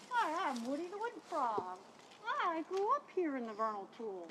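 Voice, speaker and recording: A put-on character voice, high in pitch with very wide pitch swings, goes at a moderate pace over clear background noise. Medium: stage play.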